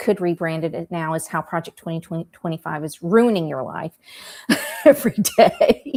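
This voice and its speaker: Recorded very cleanly with a silent background and a dry, close sound with no echo, a woman with a Southern accent speaks at a moderate pace. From US South, rural South Carolina. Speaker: political writer. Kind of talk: casual chat.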